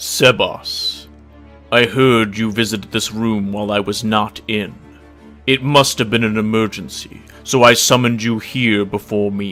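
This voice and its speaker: A man does a put-on character voice at a medium pitch. He keeps a moderate pace, with faint music in the background. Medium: read story. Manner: dignified yet relaxed.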